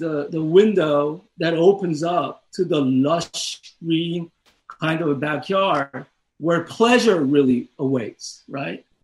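With a Korean accent, a man speaks very slowly in a high pitch. His pitch varies in an ordinary way. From South Korea. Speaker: professor. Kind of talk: academic discussion.

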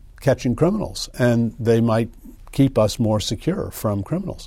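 On a very clean recording with a silent background, a man speaks at a moderate pace in a dark, mellow, somewhat breathy tone with very wide pitch swings. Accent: General American. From US Northeast and Midwest (Connecticut, Illinois). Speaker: civil liberties lawyer and law professor. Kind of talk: interview. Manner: halting, many fillers.

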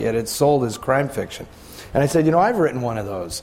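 A man with a rather high voice speaks in a lively, varied tone while clear noise runs underneath. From San Francisco. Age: 50s. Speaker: author and film historian. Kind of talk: panel discussion.

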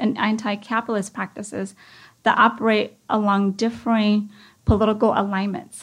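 A woman's unremarkable speaking voice, fairly high in pitch, with fairly even intonation at a moderate pace on a very clean recording with a silent background. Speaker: university professor. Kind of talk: conference lecture. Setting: stage with audience.

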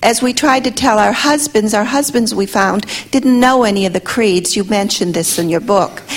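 Amid noticeable background noise, a woman speaks at a moderate pace in a fairly high pitch, with ordinary pitch variation and very even loudness. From Russia. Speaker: audience member asking a question. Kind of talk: audience question.

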